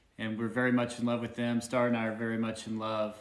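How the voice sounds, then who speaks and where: Audible room echo surrounds a man speaking at medium pitch in a Southern US accent. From Arkansas, US South. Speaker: supportive husband, co-host. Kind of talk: casual livestream Q&A.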